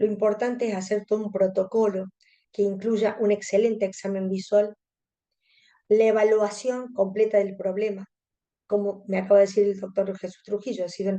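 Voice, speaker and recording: At a moderate pace, the voice speaks in a monotone, flat intonation with a dark, mellow tone and a Córdoba Argentine accent. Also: woman. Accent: Cordoban Argentine Spanish. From Argentina, Córdoba. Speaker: contact lens specialist. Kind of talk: webinar lecture.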